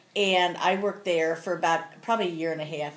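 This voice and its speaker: Speaking at a fairly quick pace, a woman has a fairly low pitch and fairly even intonation. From Cincinnati, Ohio (US Midwest). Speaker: grandmother interviewed for school project. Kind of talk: casual interview.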